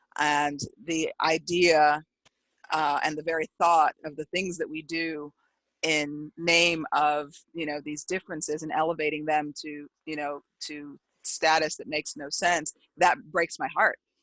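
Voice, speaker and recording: A woman speaks at a fairly slow pace with a very deep, low pitch and monotone, flat intonation. Her loudness swings widely, and the sound is dry and close with no echo. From El Paso, Texas, then Germany as military child. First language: Spanish. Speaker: author and diversity consultant. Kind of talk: interview.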